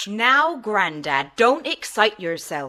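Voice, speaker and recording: A woman's put-on character voice at a very slow pace with very wide pitch swings. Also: medium pitch for a woman. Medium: audio drama.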